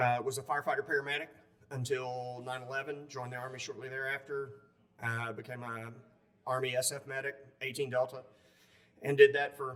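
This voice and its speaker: This man talks at a fairly quick pace with a Southern US accent. His pitch is medium and his intonation monotone and flat. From upstate South Carolina. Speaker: war veteran. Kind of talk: interview. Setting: conference.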